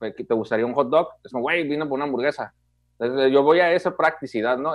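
Over a quiet background, a man speaks very fast with lively intonation, the sound dry with no echo. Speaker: film podcast co-host. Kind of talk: casual chat. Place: home room. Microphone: video call.

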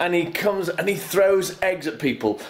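A moderate pace marks the delivery. The voice belongs to a man. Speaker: vlogger. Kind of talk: casual vlog chat. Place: home room. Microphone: phone near.

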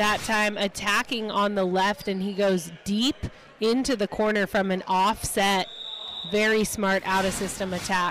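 Speaking at a fairly slow pace and medium pitch, a woman keeps very even loudness and fairly even intonation over noticeable background noise. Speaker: color commentator. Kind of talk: live sports commentary. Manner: explanatory, analyzes plays and players.

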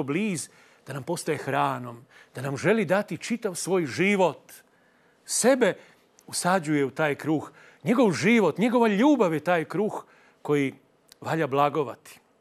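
A man at a moderate pace, with very wide pitch swings and long, frequent pauses. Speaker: priest, TV host. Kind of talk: sermon. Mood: earnest, reflective. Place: studio. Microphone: lapel.

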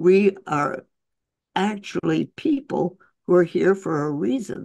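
At a very slow pace, a woman speaks in a fairly low pitch with a dark, mellow tone and lively intonation. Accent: American. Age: 80s+. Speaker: physician and author. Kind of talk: interview answer.

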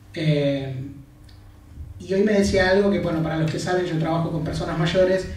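Over light background noise and with audible room echo, a man speaks at a moderate pace in a high pitch with ordinary pitch variation. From Argentina. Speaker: psychology lecturer and counselor, interviewer. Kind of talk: interview in front of an audience. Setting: stage with audience.

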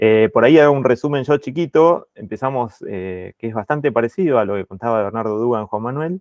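In a quiet background with a dry sound and no echo, a man talks at a fairly quick pace and medium pitch, with ordinary pitch variation and hardly any pauses. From Argentina. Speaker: meeting moderator. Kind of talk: online meeting moderation. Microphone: earbuds.

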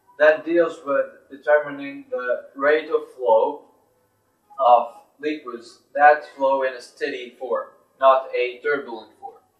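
With fairly even intonation, a man speaks at a very slow pace amid audible room echo and a quiet background. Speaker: teacher. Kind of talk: lecture. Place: classroom. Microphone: camera far.

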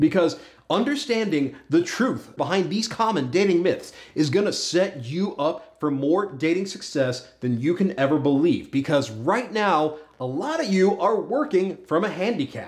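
Pitch swings very widely as a man speaks at a moderate pace. The background is quiet. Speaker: dating advice host. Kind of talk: advice vlog monologue. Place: studio.

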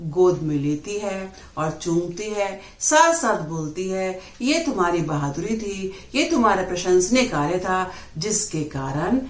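A woman's speech carries audible echo from the room. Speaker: teacher. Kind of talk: lecture. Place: home room. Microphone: phone near.

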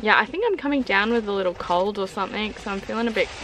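The voice has ordinary pitch variation, with a dry sound, no echo and light background noise. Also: woman. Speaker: travel vlogger. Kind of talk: casual vlog chat. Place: car. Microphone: phone near.

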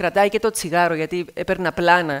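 Against a quiet background, a woman speaks at a fairly slow pace with a fairly low pitch and ordinary pitch variation. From Cyprus, Athienou; Cyprus. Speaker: TV news presenter. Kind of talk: speech to students. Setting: stage with audience. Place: hall. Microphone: headset.

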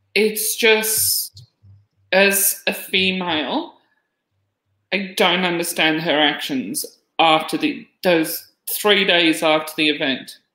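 A woman speaks very slowly with an Australian accent, her tone bright and sharp and her pitch fairly low with ordinary variation. Her loudness stays very even against a quiet background, with audible room echo. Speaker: podcast co-host. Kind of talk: casual discussion. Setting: video call. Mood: puzzled, questioning.

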